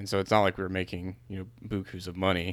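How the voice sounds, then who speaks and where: A man's voice, very deep and low, comes through a very clean recording against a silent background. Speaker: podcast co-host. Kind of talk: casual conversation.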